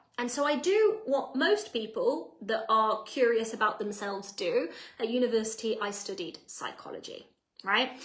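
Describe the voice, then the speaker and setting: An animated woman's voice, fairly high in pitch, with an English accent and audible room echo. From England. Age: 30s. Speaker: personal development coach. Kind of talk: live online masterclass.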